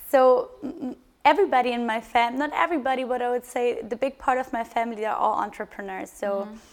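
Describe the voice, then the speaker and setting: Very fast and high-pitched, a woman speaks with ordinary pitch variation and big swings in loudness on a very clean recording with a silent background. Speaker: startup co-founder. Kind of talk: interview on stage. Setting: live stage with audience. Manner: hesitant, many fillers.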